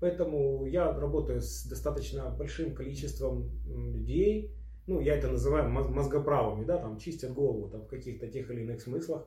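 At a moderate pace, the speech carries audible room echo. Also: man. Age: 40s. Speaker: osteopath and body-practice trainer. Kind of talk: interview.

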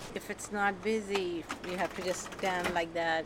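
A woman with a Pakistani accent speaks at a fairly slow pace. Her pitch is fairly low, with ordinary pitch variation. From Karachi, Pakistan. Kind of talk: casual interview. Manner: laughing often, halting.

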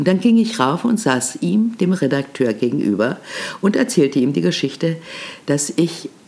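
A woman speaks with vocal fry and very wide pitch swings. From Germany, Berlin. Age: 80s+. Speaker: podcast host, veteran radio and TV presenter. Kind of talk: storytelling monologue. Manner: animated.

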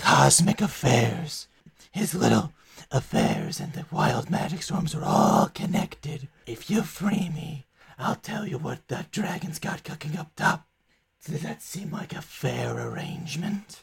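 A man puts on a character voice, pitched fairly high. He delivers it at a fairly slow pace. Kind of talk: fantasy game character voice. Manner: smug, sly, sardonic.

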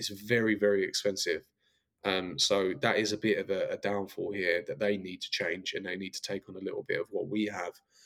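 The speaker has an Essex accent. The pace is fairly quick. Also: man. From Essex, England. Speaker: reality TV star and boxing manager. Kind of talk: interview.

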